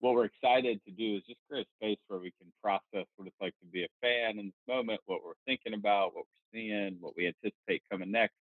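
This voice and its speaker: Fairly low-pitched male voice with a Southern US accent, a fairly quick pace, hardly any pauses, fairly even intonation and big swings in loudness. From North Carolina. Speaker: podcast co-host. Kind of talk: casual chat.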